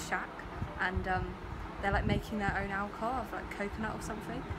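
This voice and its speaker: Over loud background noise, a woman speaks at a very fast pace. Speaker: travel vlogger. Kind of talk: casual vlog chat. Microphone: phone near.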